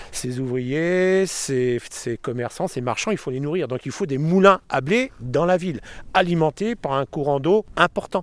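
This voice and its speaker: An unremarkable speaking voice from a man, fairly high in pitch, with lively intonation and a fairly slow pace. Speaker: local guide. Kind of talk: guided walk commentary.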